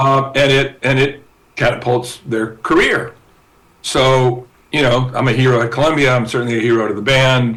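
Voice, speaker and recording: At a moderate pace, a man with an American accent speaks at medium pitch. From Southern California. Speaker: guitarist and record company promoter. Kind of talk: casual interview storytelling. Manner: animated, halting with many repetitions.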